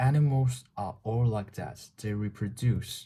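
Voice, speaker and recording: A somewhat breathy man with a Chinese accent and ordinary pitch variation, in a very clean recording against a silent background. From China. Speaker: vlogger. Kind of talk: casual monologue. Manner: halting.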